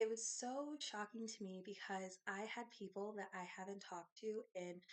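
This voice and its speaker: A woman with an American accent talks at a moderate pace. Her pitch is medium, with ordinary variation. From US Midwest. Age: 30s. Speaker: lifestyle YouTuber. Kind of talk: casual vlog talk to camera.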